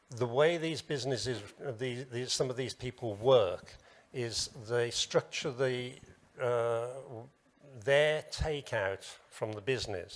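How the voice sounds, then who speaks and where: At a fairly slow pace, a man with a British accent speaks at medium pitch with fairly even intonation. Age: 70s. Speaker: business association president and business owner. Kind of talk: panel discussion. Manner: hesitant.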